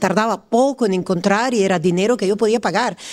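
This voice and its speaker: A woman talks with an Italian accent. Her pitch varies in an ordinary way. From Italy. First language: Italian (speaking Spanish). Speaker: podcast guest. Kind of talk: casual chat.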